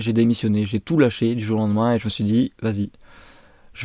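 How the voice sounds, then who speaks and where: Over a very clean recording with a silent background, a man talks at a fairly quick pace with a medium pitch and a dark, mellow tone. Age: 20s. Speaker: skateboarder and brand founder. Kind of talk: personal vlog monologue. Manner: unscripted, hesitant.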